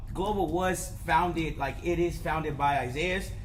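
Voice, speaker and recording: A man speaks with a high pitch. Audible room echo and noticeable background noise surround his voice. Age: 20s. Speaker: sneaker store co-owner, podcast co-host. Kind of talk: casual chat.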